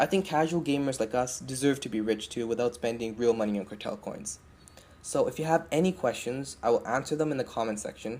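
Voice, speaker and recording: A man at a medium pitch, fairly quick in pace, with lively intonation. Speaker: gaming video creator. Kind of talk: tutorial. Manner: fast; hesitant, many fillers.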